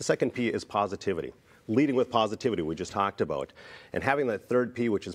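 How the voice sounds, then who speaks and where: A man talks at a very fast pace, his pitch varying an ordinary amount. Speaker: keynote speaker. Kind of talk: interview answer. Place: studio. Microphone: lapel.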